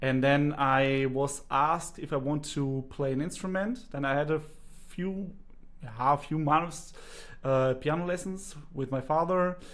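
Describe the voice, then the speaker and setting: A man with a German accent speaks at a fairly slow pace, his fairly high voice showing ordinary pitch variation. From Germany. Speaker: singing teacher and speech therapist. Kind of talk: interview.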